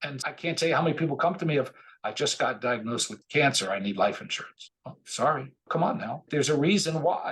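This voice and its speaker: Speaking at a fairly quick pace with hardly any pauses, a man with a fairly high voice uses lively intonation and some vocal fry. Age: 60s. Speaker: financial planner. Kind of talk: interview. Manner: animated.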